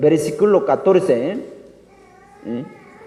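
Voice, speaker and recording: A very slow pace under noticeable background noise and audible room echo. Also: man. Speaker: pastor. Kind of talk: sermon.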